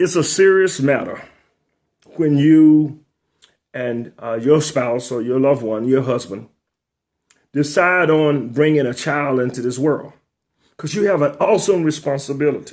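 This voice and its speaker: A man with a fairly high pitch, ordinary pitch variation and an animated tone, speaking at a fairly slow pace with long, frequent pauses. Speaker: retired school administrator and author hosting a talk show. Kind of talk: monologue talk show.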